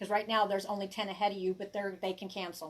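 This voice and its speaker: In an American accent, a woman talks at a medium pitch. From US South, Arkansas hills. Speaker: tarot reader and herbalist. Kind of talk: casual live-stream chat. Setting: live stream. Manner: halting, with many fillers and restarts.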